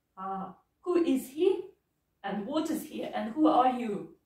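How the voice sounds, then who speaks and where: With a quiet background and audible room echo, a woman speaks in a fairly high pitch with a dark, mellow tone and very wide pitch swings. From Russia. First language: Russian. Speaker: English teacher. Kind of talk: English lesson role-play interview with a child; lesson wrap-up, giving gifts. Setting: classroom. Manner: slow, simple, encouraging teacher talk. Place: classroom. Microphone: camera far.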